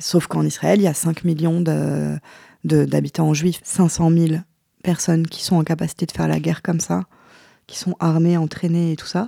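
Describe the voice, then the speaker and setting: A woman speaks at a moderate pace in a fairly low, dark, mellow voice. Her intonation stays monotone and flat. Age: 40s. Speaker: independent journalist. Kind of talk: interview conversation.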